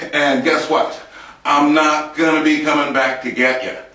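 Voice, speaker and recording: In a monotone, flat delivery, a man speaks at a moderate pace. Room echo is audible. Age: 60s. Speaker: fitness vlogger. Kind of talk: exercise demonstration. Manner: casual, folksy. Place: empty room. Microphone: camera far.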